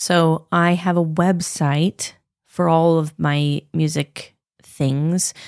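A woman with a Pacific Northwest accent talks very slowly in a fairly low, flat monotone. The recording is very clean, with a silent background. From Moscow, Idaho. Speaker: jazz singer and voice teacher. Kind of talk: casual chat.

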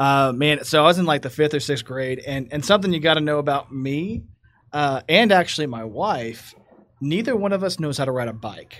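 In a Texas accent, a man talks at a fairly quick pace with a fairly high pitch and lively intonation. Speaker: guest co-host, entrepreneur. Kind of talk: casual chat. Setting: studio.

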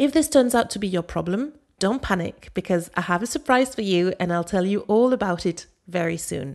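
A woman with a French accent speaks at a medium pitch in an upbeat tone, her pitch swinging very widely. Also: moderate pace. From Paris, France. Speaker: language coach, podcast host. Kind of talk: scripted educational podcast monologue. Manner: clear, instructional, upbeat.

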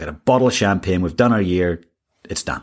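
Very deep and low, a man's voice carries an Irish accent. He speaks at a fairly quick pace with ordinary pitch variation. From Ireland. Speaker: executive coach, podcast host. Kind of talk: solo monologue.

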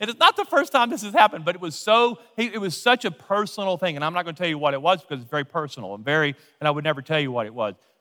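A man with an American accent speaks very fast and high-pitched, in a bright, sharp tone, with hardly any pauses. His pitch swings very widely, his loudness swings a lot, and the sound is dry and close with no echo. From Louisiana, US South. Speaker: pastor. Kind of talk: sermon. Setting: church.

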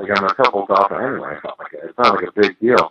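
A bright, sharp tone with an American accent, dry and close with no echo. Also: man. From Boston area, Massachusetts. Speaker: former pro hockey player and scout. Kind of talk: interview.

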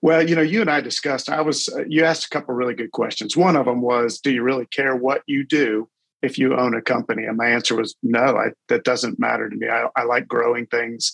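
At a fairly quick pace with hardly any pauses, a man speaks at a medium pitch with vocal fry. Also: ordinary pitch variation, dry, close sound with no echo. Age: 50s. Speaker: corporate executive and roofing franchise owner. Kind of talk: casual interview.

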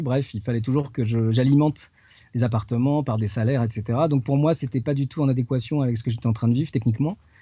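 A man's very fast, somewhat breathy voice at a medium pitch, with ordinary pitch variation. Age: 40s. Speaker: itinerant wedding photographer and wood carver. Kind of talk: interview. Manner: halting, many repetitions and fillers. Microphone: connection sometimes poor.

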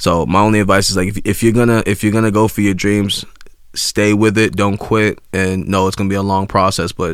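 A man with an American accent speaks at a fairly quick pace in a fairly low pitch, his intonation monotone and flat. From Greater Boston area, Massachusetts. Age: 20s. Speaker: rapper. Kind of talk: casual interview.

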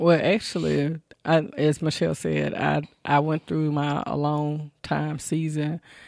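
A woman's very deep, low voice in a Southern US accent, monotone and flat, at a fairly slow pace against a quiet background. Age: 30s. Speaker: family caregiver. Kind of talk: interview. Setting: studio.

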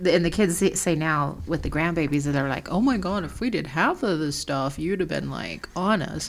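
A woman with an American accent and a fairly low voice speaks at a moderate pace amid noticeable background noise. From small-town US. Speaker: podcast co-host. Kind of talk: casual chat.

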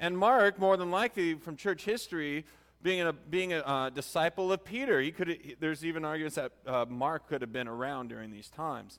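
On a very clean recording with a silent background, a man with a fairly high voice talks at a fairly quick pace, using lively intonation and big swings in loudness. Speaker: pastor. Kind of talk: sermon. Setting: church. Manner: halting.

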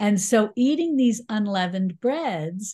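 Against a quiet background, a woman with a New York accent speaks at a moderate pace in a somewhat breathy, medium-pitched voice with lively intonation. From New York City. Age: 60s. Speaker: YouTube cooking teacher and cookbook author. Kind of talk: interview. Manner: bubbly, fun energy.

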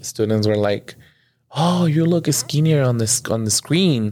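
A man with an American accent and an unremarkable speaking voice talks fairly slowly with lively intonation, on a very clean recording with a silent background. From Mexico (Veracruz) and California. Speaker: bilingual first grade teacher. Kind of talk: casual interview.

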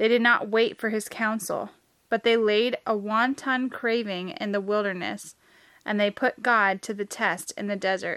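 Heard on a very clean recording with a silent background, a woman with a plain, everyday voice speaks at a fairly high pitch and a fairly slow pace, her intonation fairly even. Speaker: podcast host. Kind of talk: scripture reading aloud. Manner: measured, solemn reading cadence; steady, reverent, even-paced.

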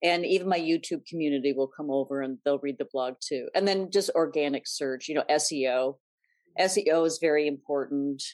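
Her pitch is very deep and low for a woman, with ordinary variation. She speaks at a moderate pace against a quiet background. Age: 60s. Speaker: style blogger. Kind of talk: interview.

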